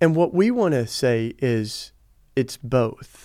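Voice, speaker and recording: A man speaks with a Southern US accent and lively intonation. The recording is very clean, with a silent background. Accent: Southern American. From US South. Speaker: activist and author. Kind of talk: interview conversation. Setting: studio, in person.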